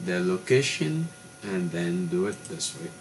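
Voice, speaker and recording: With a French accent, a man talks at a very slow pace with ordinary pitch variation over noticeable background noise. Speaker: tech tutorial youtuber. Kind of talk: tutorial. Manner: halting.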